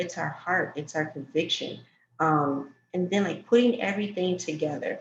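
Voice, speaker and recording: The speaker has an American accent and sounds somewhat breathy. Pace is moderate and pitch variation ordinary. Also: woman, fairly low pitch for a woman. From New York. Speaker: talk show host for entrepreneurs. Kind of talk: casual interview chat.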